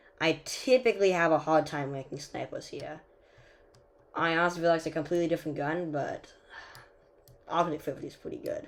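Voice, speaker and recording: Fairly quick speech broken by long, frequent pauses, on a very clean recording with a silent background. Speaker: mobile gaming YouTuber. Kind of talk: gameplay commentary tier list. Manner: fast; casual with many fillers.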